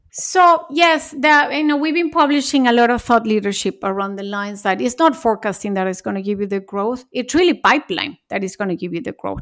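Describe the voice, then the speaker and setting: Pitched fairly high, a woman talks at a fairly quick clip with hardly any pauses and very wide pitch swings, on a very clean recording with a silent background. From Mexico. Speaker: marketing executive. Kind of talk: interview.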